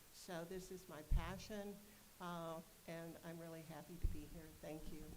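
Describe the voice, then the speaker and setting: Against noticeable background noise and audible room echo, a woman speaks in a fairly low pitch with monotone, flat intonation and big swings in loudness. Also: fairly slow pace. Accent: American. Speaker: board member, parent representative and nurse. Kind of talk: self-introduction at a board meeting. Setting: board meeting.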